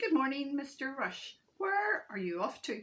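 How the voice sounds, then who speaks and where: A woman's put-on character voice, high-pitched, with very wide pitch swings. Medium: read story. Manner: cheerful.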